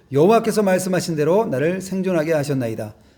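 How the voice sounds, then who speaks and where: With audible room echo, a man speaks with a high pitch and lively intonation. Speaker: pastor. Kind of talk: sermon. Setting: church.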